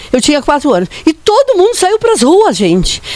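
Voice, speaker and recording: A woman talks at a moderate pace in an extremely high pitch. Noticeable background noise runs underneath. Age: 70s. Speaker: daughter of an honoured politician. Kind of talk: personal testimony at a commemoration.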